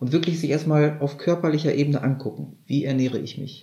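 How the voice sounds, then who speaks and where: A man's somewhat breathy voice is fairly high in pitch, with ordinary pitch variation. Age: 30s. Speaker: kambo ceremony practitioner. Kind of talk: interview.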